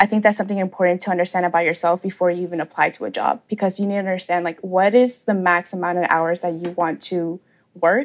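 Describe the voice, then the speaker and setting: A woman with a normal speaking voice and an American accent talks at a medium pitch with fairly even intonation. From Atlanta, Georgia, US. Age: 20s. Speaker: content creator. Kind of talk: interview.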